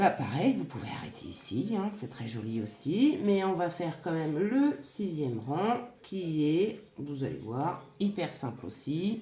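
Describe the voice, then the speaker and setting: Against noticeable background noise and audible room echo, a woman with a fairly low pitch speaks at a very slow pace with hardly any pauses and very wide pitch swings. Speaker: crochet and scrapbooking youtuber. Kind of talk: tutorial.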